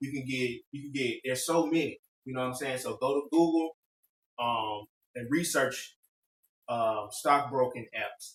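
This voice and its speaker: A somewhat breathy man with a fairly high pitch speaks with long, frequent pauses. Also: fairly even intonation, moderate pace, big swings in loudness. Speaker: podcast host giving investing tips. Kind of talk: casual chat.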